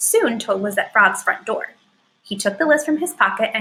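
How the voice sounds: Lively intonation in a natural reading voice, background quiet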